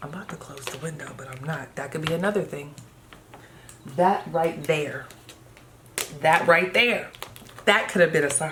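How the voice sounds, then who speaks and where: A woman with a very deep, low pitch and an animated tone uses ordinary pitch variation, big swings in loudness, and long, frequent pauses, amid audible room echo and noticeable background noise. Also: moderate pace. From Ohio, US. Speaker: tarot reader. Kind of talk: tarot reading to camera. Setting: indoors by open window.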